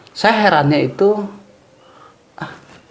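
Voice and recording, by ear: With big pitch swings and a fairly slow pace, a man talks amid audible room echo.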